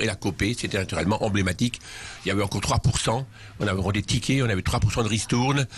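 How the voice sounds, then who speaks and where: Speech comes at a very fast pace in an Alsatian accent. Music plays in the background. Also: man. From Alsace, Schiltigheim near Strasbourg. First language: Alsatian (speaking French). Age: 60s. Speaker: charity leader and author. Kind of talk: interview. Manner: hesitant with many fillers.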